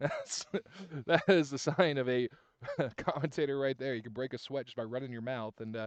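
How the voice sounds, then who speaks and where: With big swings in loudness and long, frequent pauses, a man talks at a fairly quick pace with ordinary pitch variation, the sound dry and close with no echo. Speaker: sports commentator. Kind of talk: live commentary. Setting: outdoors at high school soccer field. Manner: fast.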